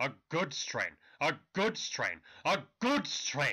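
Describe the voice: In a raspy, put-on character voice, a man speaks very slowly at a fairly high pitch.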